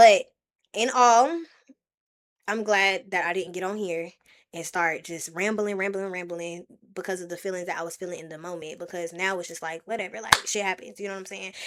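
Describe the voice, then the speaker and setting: A woman speaks at a fairly quick pace and a medium pitch, with fairly even intonation. Her loudness shifts in big swings. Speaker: streamer. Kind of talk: casual livestream talk to chat. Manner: fast.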